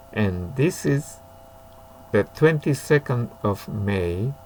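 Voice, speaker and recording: A man speaks with a Japanese accent at a very slow pace. His fairly low voice makes very wide pitch swings. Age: 70s. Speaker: violinist. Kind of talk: casual talk. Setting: home study. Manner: halting.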